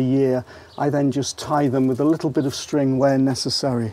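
A man's medium-pitched, dark and mellow voice at a moderate pace

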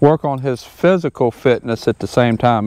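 Against a quiet background, a man talks at a moderate pace with ordinary pitch variation, the sound dry with no echo. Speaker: horse trainer. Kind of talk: tutorial. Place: open country. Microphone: lapel.

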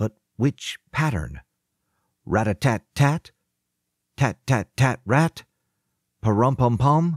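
On a very clean recording with a silent background and a dry, close sound with no echo, a man at medium pitch speaks very slowly with lively intonation, very even loudness and long, frequent pauses. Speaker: audiobook narrator. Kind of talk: audiobook narration. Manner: animated, energetic storytelling.

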